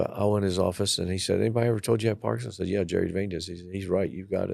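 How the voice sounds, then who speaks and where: Talking at a very fast pace, a man with an American accent uses a fairly low pitch, ordinary pitch variation and vocal fry. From Maryland, US. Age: 70s. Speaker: retired school principal and superintendent. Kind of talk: casual interview chat. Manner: halting, repeats words.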